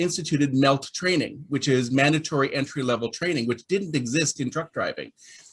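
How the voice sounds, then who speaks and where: A man talks at a fairly quick pace with a fairly high pitch. His voice is somewhat breathy, with ordinary pitch variation. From Canada. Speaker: labour market report publisher. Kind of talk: panel discussion.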